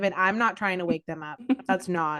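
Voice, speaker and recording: The speech moves at a fairly quick pace. Pitch rises and falls by an ordinary amount. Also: woman. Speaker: podcast co-host. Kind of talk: casual chat. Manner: gets louder when passionate.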